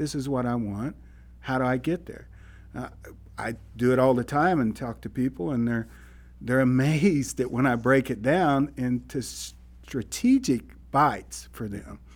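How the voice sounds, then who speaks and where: At a fairly slow pace, a man speaks in a plain, everyday voice at medium pitch with ordinary pitch variation. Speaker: podcast co-host, business coach. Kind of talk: casual conversational podcast chat.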